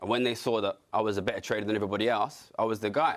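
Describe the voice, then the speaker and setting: A man in an East London accent at a very fast pace. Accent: regional East London. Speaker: city trader and economics commentator. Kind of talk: TV political panel discussion.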